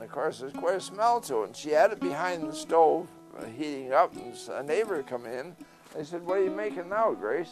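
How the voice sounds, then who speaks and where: Lively intonation comes through with music playing in the background. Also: man. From Point Peter, Prince Edward County, Ontario. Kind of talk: interview answer.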